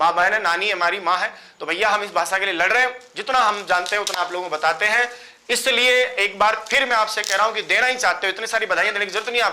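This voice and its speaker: An animated, raised and projected voice with ordinary pitch variation carries over noticeable background noise. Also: man, high pitch for a man. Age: 40s. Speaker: Sanskrit teacher. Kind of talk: online class address to students.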